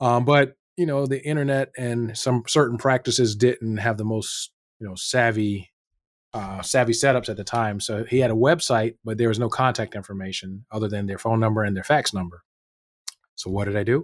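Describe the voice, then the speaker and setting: In an unremarkable speaking voice, a man talks at a moderate pace and medium pitch with ordinary pitch variation, recorded very cleanly against a silent background. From North Carolina. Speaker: pain medicine physician, business owner. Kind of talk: interview.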